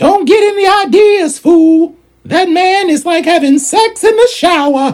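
At a fairly slow pace, a woman speaks with an extremely high pitch. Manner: sassy, blunt, streetwise.

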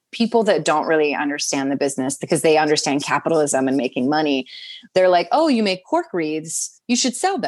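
In an American accent, an unremarkable speaking voice moves at a fairly quick pace with lively intonation against a quiet background. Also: woman. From Southern New Jersey. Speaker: actor and host. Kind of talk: casual chat.

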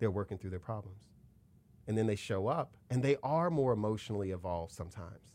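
On a very clean recording with a silent background, a man talks at a very fast pace in a dark, mellow tone. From Chicago. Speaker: racial justice consultant and speaker. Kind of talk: interview conversation. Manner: repeats words when building a point.

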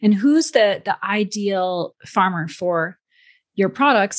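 Over a quiet background, a woman uses a normal speaking voice at medium pitch with lively intonation. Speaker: podcast host. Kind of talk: interview.

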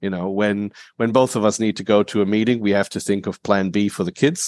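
Speech comes at a fairly quick pace in an Australian accent, with a dry, close sound and no echo. The recording is very clean, and the background is silent. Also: man. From Germany, moved to Australia at age eight. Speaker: vertical farming company co-founder. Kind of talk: interview. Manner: frequent fillers um, uh, you know.

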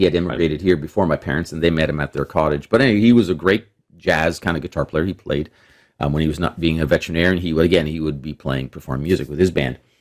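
A man with a Canadian accent at a very fast pace, his very deep, low pitch carrying vocal fry and ordinary pitch variation. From Toronto, Canada. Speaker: jazz guitarist. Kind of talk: interview.

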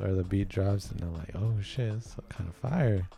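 A man talks at a fairly slow pace. His pitch sits fairly low. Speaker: podcast host. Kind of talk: casual chat.

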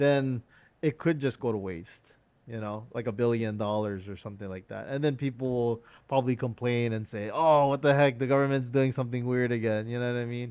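A normal speaking voice from a man at medium pitch, fairly quick in pace and fairly even in intonation, over a quiet background. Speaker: podcast host. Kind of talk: casual interview.

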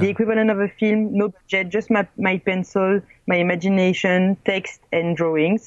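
The voice carries a French accent. The sound is dry and close, with no echo. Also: woman. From France, small town. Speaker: filmmaker and blogger. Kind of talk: interview. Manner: halting.

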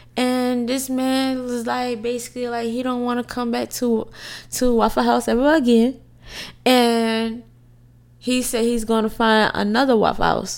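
A woman speaks in a high, flat monotone at a fairly slow pace. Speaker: podcast co-host. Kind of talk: casual chat.

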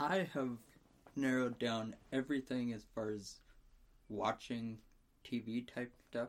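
This man talks at a fairly slow pace with long, frequent pauses. His pitch is medium and varies in an ordinary way. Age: 20s. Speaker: podcast co-host. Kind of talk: casual chat.

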